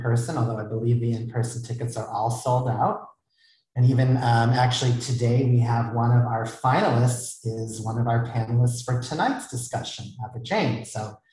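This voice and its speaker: Against a quiet background with audible room echo, a man speaks in a monotone, flat intonation at a moderate pace, his dark, mellow tone somewhat breathy. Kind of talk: event introduction remarks. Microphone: earbuds.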